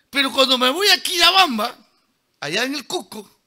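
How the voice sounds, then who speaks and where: An animated man with an extremely high pitch and a bright, sharp tone, his voice raised and projected. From Peruvian Amazon (San Martín, Lamas). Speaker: engineer and lecturer. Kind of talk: lecture. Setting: auditorium with audience.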